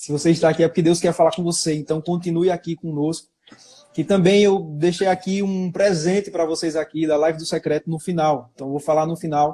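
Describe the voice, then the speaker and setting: A man with a high pitch speaks at a fairly quick pace in a monotone, flat intonation. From Brazilian Northeast. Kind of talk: sermon on a live stream. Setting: online live stream.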